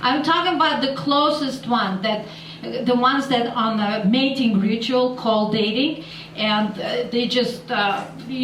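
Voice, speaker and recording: A woman's high-pitched voice with a Russian accent, audible room echo and noticeable background noise. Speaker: stand-up comedian. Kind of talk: stand-up. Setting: stage with audience in a bar. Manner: halting.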